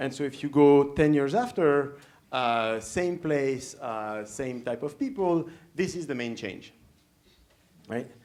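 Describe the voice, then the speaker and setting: With audible room echo, a man with a fairly high pitch speaks at a very slow pace, leaving long, frequent pauses. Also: ordinary pitch variation. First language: French. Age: young. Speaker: professor. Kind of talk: lecture. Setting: stage with audience. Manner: halting, many fillers.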